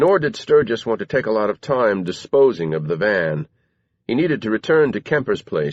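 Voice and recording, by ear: The background stays quiet. A person reads aloud in a natural voice.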